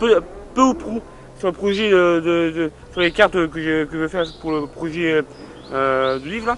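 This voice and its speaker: Noticeable noise sits behind this man's voice. He talks at a moderate speed, and his pitch varies in an ordinary way. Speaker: video blogger. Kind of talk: casual monologue. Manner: hesitant, many fillers.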